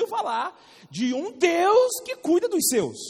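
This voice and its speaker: Extremely high pitch for a man, with very wide pitch swings and noticeable background noise. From Rio de Janeiro, Brazil. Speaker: Bible school teacher. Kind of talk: lecture. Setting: classroom with students. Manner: animated, interactive with class.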